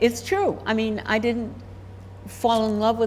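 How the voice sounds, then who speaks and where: A woman's voice with audible room echo. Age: 80s+. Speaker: professional intuitive, retired university vice president. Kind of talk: casual interview.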